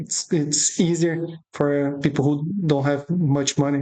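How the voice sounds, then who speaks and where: A woman with a non-native accent talks very slowly in a very deep, low voice with a monotone, flat intonation. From Brazil. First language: Portuguese. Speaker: options trading educator. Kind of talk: tutorial. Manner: halting.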